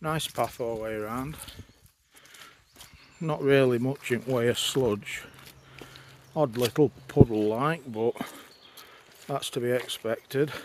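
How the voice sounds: A man's slow delivery with long, frequent pauses, a slightly mellow tone and ordinary pitch variation. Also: medium pitch for a man.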